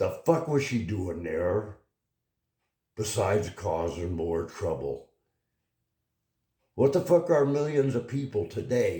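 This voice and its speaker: A man speaks very slowly at medium pitch in a dark, mellow, somewhat breathy tone. His pitch swings very widely, and he takes long, frequent pauses. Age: 80s+. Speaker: political commentary vlogger. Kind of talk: opinion monologue. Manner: animated.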